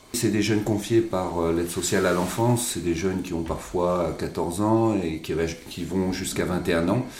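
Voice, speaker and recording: There is audible room echo and noticeable background noise. The man's pitch is very deep and low, with fairly even intonation. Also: fairly slow pace. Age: 40s. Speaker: social educator, association head. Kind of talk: interview.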